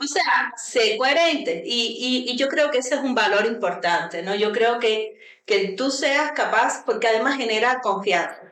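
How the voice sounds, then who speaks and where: A woman talks fairly slowly at a high pitch with lively intonation and very even loudness. Audible room echo and noticeable background noise surround her. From Cuba. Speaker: university vice-rector. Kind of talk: radio interview.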